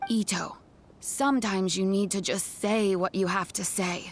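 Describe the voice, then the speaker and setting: At a moderate pace, a woman does a put-on character voice at medium pitch with fairly even intonation. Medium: video game. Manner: calm, gentle.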